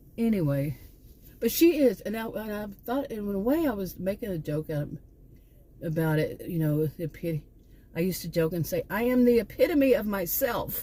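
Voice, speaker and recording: A woman talks at a moderate pace in a dark, mellow, somewhat breathy tone. Her pitch swings very widely. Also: medium pitch for a woman. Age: 60s. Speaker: vlogger, former college teacher. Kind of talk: casual vlog monologue. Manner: halting, with frequent restarts.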